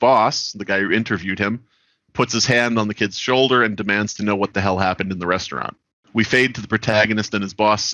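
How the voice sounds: A quiet background and a natural reading voice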